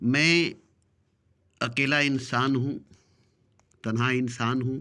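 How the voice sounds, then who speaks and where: A man speaks at a medium pitch with a bright, sharp tone and fairly even intonation. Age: 60s. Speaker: spiritual speaker. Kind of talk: spiritual discourse. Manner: repetitive phrasing.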